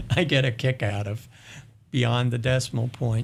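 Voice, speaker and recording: With an American accent and a somewhat breathy medium pitch, a man talks at a moderate pace with fairly even intonation on a very clean recording with a silent background. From US Northeast, New York City. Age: 70s. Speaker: university president. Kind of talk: interview.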